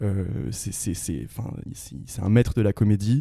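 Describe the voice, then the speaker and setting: The tone is dark and mellow, somewhat breathy, with fairly even intonation. The sound is dry and close with no echo. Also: man. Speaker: student actor, theatre club member. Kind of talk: casual interview.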